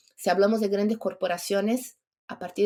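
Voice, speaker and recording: Here is a woman with a normal speaking voice. Her pitch is medium, with ordinary variation. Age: 50s. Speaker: entrepreneur and longevity advocate. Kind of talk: podcast interview.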